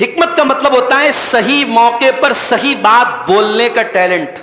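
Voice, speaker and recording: Over noticeable background noise, a man talks in a raised, projected voice. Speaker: Islamic scholar giving a Quran commentary lecture. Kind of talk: religious sermon / lecture. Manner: earnest, passionate, preaching.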